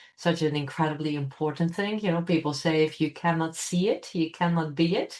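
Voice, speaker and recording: This woman has a very deep, low pitch and fairly even intonation, speaking with a Dutch accent. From Netherlands. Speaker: computational scientist. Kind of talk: interview. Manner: hesitant, many fillers.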